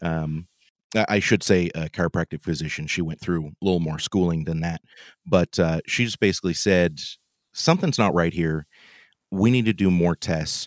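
A man's very deep, low voice with a West Coast accent, at a moderate pace with fairly even intonation, dry and close with no echo, on a very clean recording with a silent background. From Oregon. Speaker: home cook and podcast host. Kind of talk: casual interview.

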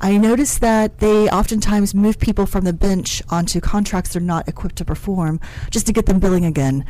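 In an American accent, a woman with a plain, everyday voice talks at a fairly quick pace in a medium pitch. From West Virginia, small town. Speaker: staffing and technology firm CEO. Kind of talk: radio interview.

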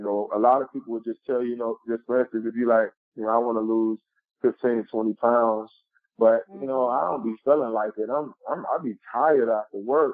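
A man with a plain, everyday voice and an American accent, medium in pitch, fairly quick, and fairly even in intonation. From Chicago West Side. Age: 30s. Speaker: motivational speaker. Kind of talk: interview.

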